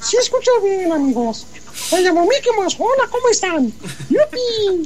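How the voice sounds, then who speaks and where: A put-on character voice speaks at an extremely high pitch and a moderate pace. Background noise is clearly heard. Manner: cheerful.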